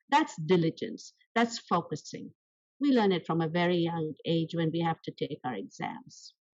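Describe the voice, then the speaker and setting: Somewhat breathy speech with lively intonation unfolds at a moderate pace. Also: woman, fairly low pitch for a woman. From India. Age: 70s. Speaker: small business owner. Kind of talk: interview. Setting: podcast.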